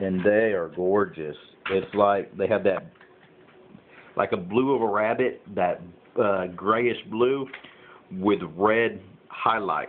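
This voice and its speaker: A man's fairly low voice in a Southern US accent, at a very slow pace with long, frequent pauses. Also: ordinary pitch variation. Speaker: backyard chicken keeper. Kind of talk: casual vlog. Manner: hesitant with many fillers.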